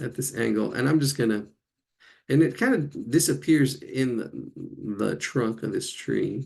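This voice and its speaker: A man mumbles with vocal fry. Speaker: drawing teacher. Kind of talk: live online drawing class. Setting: live video stream. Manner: mumbling; halting, repetitive.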